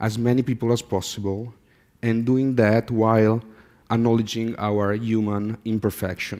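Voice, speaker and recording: In a very clean recording with a silent background, a man with a medium pitch and a dark, mellow tone speaks at a fairly slow pace. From Italy. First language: Italian. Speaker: artist. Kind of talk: conference talk. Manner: halting, with fillers.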